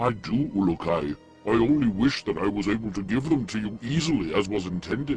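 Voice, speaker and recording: A man's put-on character voice, fairly low in pitch and fairly quick, with clear music in the background. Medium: video game. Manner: formal, measured.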